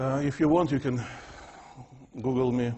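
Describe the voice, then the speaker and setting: Speaking at a fairly slow pace, a man with a Russian accent sounds somewhat breathy. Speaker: physics professor. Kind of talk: lecture. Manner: unusual fixed intonation.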